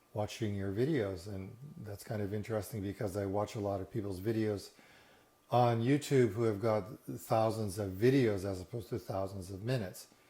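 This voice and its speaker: A man speaks at a moderate pace in a fairly low pitch, his voice somewhat breathy with a dark, mellow tone. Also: ordinary pitch variation. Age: 60s. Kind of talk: casual talk to camera. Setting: living room. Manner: relaxed, hesitant.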